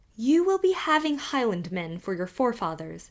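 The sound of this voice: A woman's put-on character voice at a moderate pace, with very wide pitch swings. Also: fairly high pitch for a woman.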